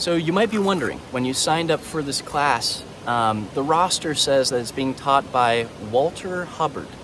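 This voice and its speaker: Lively intonation from a man with a fairly high voice at a moderate pace, over noticeable background noise. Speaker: university instructor. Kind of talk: lecture. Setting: outdoors. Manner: halting.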